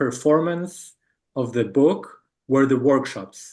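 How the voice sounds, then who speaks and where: Very slowly, a man with a Spanish accent speaks at a fairly high pitch with ordinary pitch variation. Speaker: book artist presenting a project. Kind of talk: Q&A answer in an online talk. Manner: halting, many fillers and repetitions.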